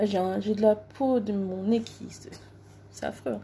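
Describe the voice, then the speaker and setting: Her voice is somewhat breathy, with a dark, mellow tone and a fairly high pitch. The woman keeps a fairly even intonation. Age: 30s. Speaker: beauty vlogger. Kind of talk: makeup tutorial. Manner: hesitant, many fillers. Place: home room. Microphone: phone near.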